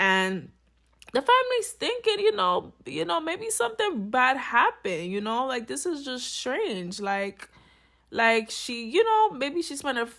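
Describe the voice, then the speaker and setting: A woman speaks in a high voice with an animated tone. Her pitch swings very widely. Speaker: true crime commentator. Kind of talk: casual storytelling commentary. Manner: fast.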